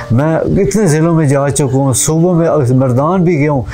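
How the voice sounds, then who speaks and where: Faint music sits in the background as a man speaks at a fairly high pitch with ordinary pitch variation. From Khushab district, Punjab, Pakistan. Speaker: interviewee, political supporter. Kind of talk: interview answer. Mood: earnest, emotional devotion. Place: open country. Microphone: lapel.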